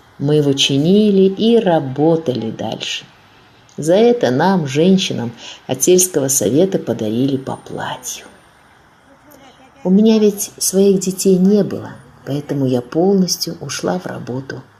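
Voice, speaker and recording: Pausing long and often, a woman with a fairly low voice swings her pitch very widely against noticeable background noise. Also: fairly slow pace. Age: 80s+. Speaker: deportation survivor, eyewitness. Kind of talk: testimony.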